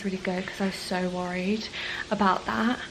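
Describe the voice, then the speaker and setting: With noticeable background noise behind her, a woman talks at a fairly quick pace in fairly even intonation. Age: 20s. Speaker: travel vlogger. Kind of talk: vlog to camera. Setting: hostel room. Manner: casual, filler-heavy.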